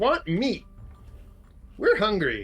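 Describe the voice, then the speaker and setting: A man's high-pitched, put-on character voice with music in the background. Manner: demanding, hungry.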